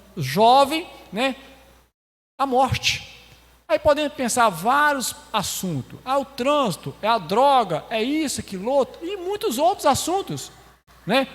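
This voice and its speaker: A man at an extremely high pitch with very wide pitch swings, a fairly slow pace and long, frequent pauses. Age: 60s. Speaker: lay preacher. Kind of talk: sermon.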